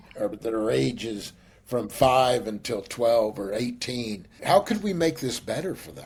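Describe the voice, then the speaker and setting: A man talks at a fairly slow pace and a medium pitch. His voice is somewhat breathy. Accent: Texas. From western Kansas. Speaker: business executive. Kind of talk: interview.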